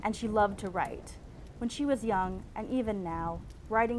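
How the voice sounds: Simply a natural reading voice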